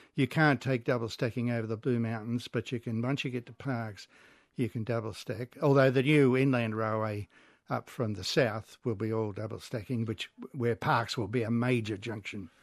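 A man with an Australian accent speaks at a moderate pace and medium pitch, his intonation fairly even against a quiet background. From Sydney, Australia (Como, Georges River). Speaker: railway historian. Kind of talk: radio interview.

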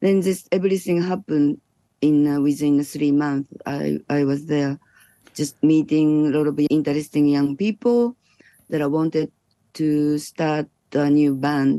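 A woman's very deep, low pitch with a dark, mellow tone, a Japanese accent, ordinary pitch variation, very even loudness and a fairly slow pace. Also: dry, close sound with no echo. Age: 60s. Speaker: electronic musician. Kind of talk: interview. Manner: halting.

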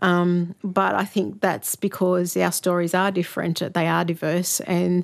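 Speaking with an Australian accent, a woman uses a fairly low pitch at a fairly slow pace. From Sydney, Australia. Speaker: author. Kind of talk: interview.

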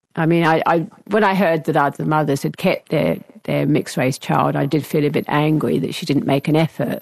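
Recorded dry and close with no echo, a woman speaks at a moderate pace in a very deep, low pitch with vocal fry. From England. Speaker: retired academic. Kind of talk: interview. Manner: halting, with many fillers.

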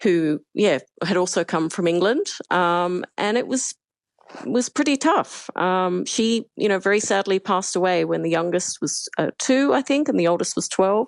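In an Australian accent, the speaker keeps a moderate pace, lively intonation, and very even loudness, with a dry, close sound, no echo, and a quiet background. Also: woman, medium pitch for a woman. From Australia, Perth. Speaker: human rights campaigner. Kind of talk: interview. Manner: evenly spoken.

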